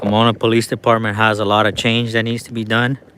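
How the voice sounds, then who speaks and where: A man's animated voice at medium pitch and a very fast pace, over noticeable background noise. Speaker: citizen journalist filming police. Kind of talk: livestream commentary. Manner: casual, animated; loud.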